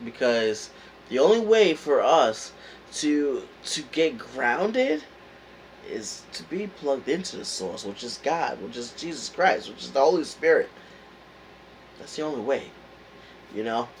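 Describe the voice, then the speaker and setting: A man's fairly high voice with very wide pitch swings, big shifts in loudness, a fairly slow pace and long, frequent pauses. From New York. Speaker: motivational vlogger. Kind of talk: motivational talk. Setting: indoors at home, heater on. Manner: casual, hesitant with fillers.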